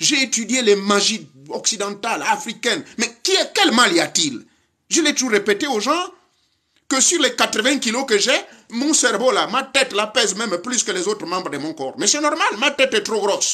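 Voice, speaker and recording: A man with an extremely high pitch, a raised, projected voice and a bright, sharp, animated tone, moving at a moderate pace with lively intonation. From Gabon. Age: 60s. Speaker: spiritual teacher. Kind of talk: lecture.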